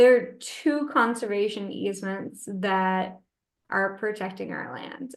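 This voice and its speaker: With an unremarkable speaking voice, a woman talks at a fairly slow pace in a fairly high pitch with ordinary pitch variation. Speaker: natural cemetery operator presenting a case study. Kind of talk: webinar Q&A answers. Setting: online webinar.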